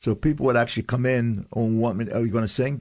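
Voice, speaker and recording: Speaking fairly quickly, a man has a plain, everyday voice at a fairly low pitch. The recording is very clean, with a silent background. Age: 60s. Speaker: singer and restaurant owner. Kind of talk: radio interview.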